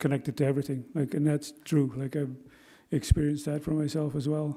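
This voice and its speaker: Against a silent background in a very clean recording, a man with a dark, mellow tone and fairly high pitch speaks in a monotone, flat intonation. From northern Alberta Métis settlement. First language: Cree. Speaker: retired forest ranger and wildland firefighter. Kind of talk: personal talk at a gathering. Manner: halting, many fillers.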